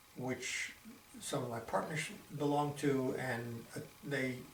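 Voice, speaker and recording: Medium in pitch, a man's voice comes through. Background noise is noticeable. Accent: American. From Boston, Massachusetts. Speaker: retired doctor. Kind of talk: oral history interview answer.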